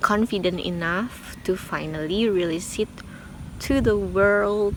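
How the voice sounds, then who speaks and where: A woman's medium-pitched voice with an Indonesian accent, at a very slow pace over noticeable background noise. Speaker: singer and vlogger. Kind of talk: casual vlog. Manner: halting.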